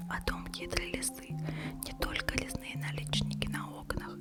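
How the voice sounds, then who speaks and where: Someone whispers at a moderate pace. Noticeable background noise can be heard. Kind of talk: read story. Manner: whispered.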